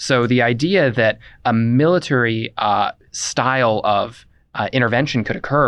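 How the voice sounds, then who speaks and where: A man talks at a medium pitch with ordinary pitch variation, in an ordinary speaking voice. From Indiana, US. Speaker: former congressional staffer, political activist. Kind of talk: casual chat.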